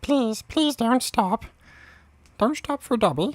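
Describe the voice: A squeaky put-on character voice, fairly high in pitch, at a fairly slow pace.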